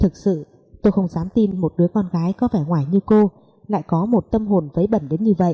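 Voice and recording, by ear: Ordinary variation in pitch while reading aloud in a natural voice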